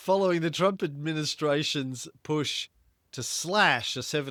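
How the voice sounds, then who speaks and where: Speaking with an Australian accent, the voice comes through a very clean recording with a silent background and a dry, close sound with no echo. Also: man. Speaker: podcast host. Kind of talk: casual chat about investing. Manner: reading news articles aloud.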